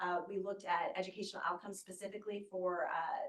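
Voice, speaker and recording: A woman with a normal speaking voice talks at a medium pitch and a fairly quick pace. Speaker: oversight board chair. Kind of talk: board meeting presentation.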